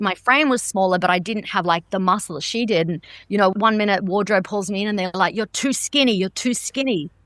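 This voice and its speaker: Speaking at a fairly quick pace with hardly any pauses, a woman with an Australian accent uses a medium pitch and ordinary pitch variation, her dry, close sound carrying no echo against a quiet background. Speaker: stunt performer. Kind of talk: interview answer.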